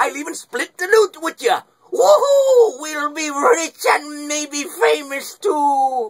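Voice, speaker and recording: A man performs a put-on character voice. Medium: voice reel. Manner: upbeat.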